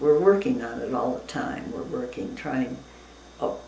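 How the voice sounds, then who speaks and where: A woman's very deep, low voice, with audible room echo and noticeable background noise. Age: 90s. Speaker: interviewee, retired teacher. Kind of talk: casual interview. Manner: halting.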